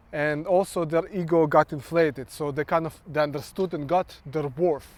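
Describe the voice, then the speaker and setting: A man with a Ukrainian accent speaks at a fairly high pitch and a moderate pace. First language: Ukrainian or Russian. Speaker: social worker and vlogger. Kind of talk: monologue vlog. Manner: halting.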